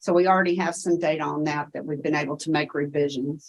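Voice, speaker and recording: A woman with a Tennessee accent. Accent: Tennessee Southern. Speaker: education researcher. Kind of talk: conference Q&A presentation.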